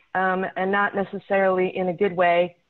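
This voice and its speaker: A woman speaks in a shaky voice at a fairly slow pace. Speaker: city traffic safety manager. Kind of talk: presentation.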